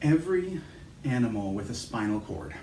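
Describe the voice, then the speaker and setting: A man's calm tone with ordinary pitch variation, amid audible room echo and noticeable background noise. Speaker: chiropractor guiding movement exercises. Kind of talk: guided movement instruction. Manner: calm, slow-paced.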